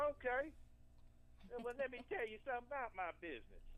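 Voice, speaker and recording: The speaker has a slight country accent. The pace is fairly quick. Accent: slight country twang. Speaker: small business owner, caller. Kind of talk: casual chat.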